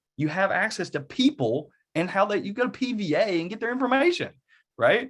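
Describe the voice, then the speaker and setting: In an Eastern Kentucky accent, a man talks at a moderate pace. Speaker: real estate agent and workshop presenter. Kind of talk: online workshop with live Q&A. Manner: casual, conversational.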